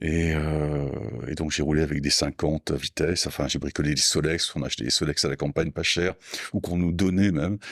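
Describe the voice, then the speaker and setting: A man talks at a fairly quick pace. His intonation is fairly even, and the sound is dry and close with no echo. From south-west France, Landes. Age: 60s. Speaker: motorcycle parts business owner. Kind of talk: podcast interview. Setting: in company premises. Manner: calm and understated; halting, many hesitations.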